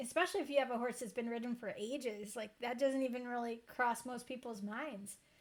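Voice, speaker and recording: A woman with a New York accent speaks in an animated tone at a fairly quick pace, with a high pitch and ordinary pitch variation. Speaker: podcast host and riding instructor. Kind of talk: casual interview chat.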